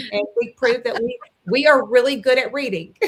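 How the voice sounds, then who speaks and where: High-pitched woman with a Southern US accent, animated tone and lively intonation at a moderate pace. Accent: very Southern. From Mississippi. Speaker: former teacher, parent advocate. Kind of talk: interview.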